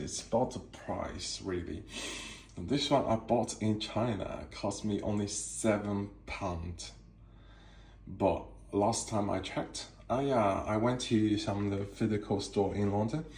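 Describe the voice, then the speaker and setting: A man with a non-native accent, fairly low pitch and ordinary pitch variation, somewhat breathy, at a fairly slow pace amid audible room echo. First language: not English. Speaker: cigar collector. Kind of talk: casual show-and-tell tour. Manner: halting, many fillers.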